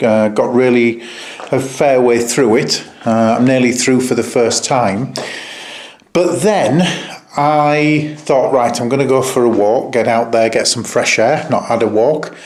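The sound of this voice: Here a man talks at a fairly slow pace with a slightly mellow tone and medium pitch. His pitch varies in an ordinary way, and the room echo is audible.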